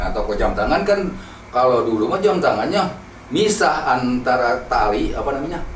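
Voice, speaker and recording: Pitched fairly high with very wide pitch swings, a man talks at a moderate pace over noticeable background noise. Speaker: eyewitness narrator of past events. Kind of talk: interview answer telling a personal anecdote.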